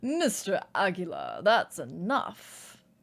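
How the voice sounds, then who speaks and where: A put-on character voice booms out loud in a fairly high pitch with very wide pitch swings. It moves at a very slow pace. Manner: commanding.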